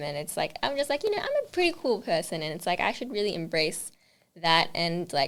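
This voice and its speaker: Speaking with an Australian accent, a woman has a medium pitch. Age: 20s. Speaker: makeup artist. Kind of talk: interview. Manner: fast.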